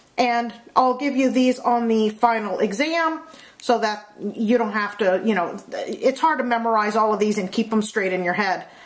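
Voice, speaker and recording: A woman's fairly high voice at a fairly slow pace, with noticeable background noise and audible room echo. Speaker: math teacher. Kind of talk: lecture. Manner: casual with many fillers.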